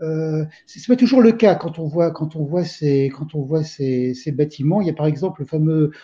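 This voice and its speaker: A man's fairly high voice, somewhat breathy and dark and mellow in tone, at a moderate pace. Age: 60s. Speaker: film enthusiast, forum member. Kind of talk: casual panel discussion. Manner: halting, many repetitions.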